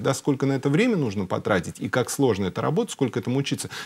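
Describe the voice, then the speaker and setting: A man against a quiet background. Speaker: car brand executive; guest. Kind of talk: TV talk show interview. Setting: TV studio. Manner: hesitant, many filler sounds. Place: studio.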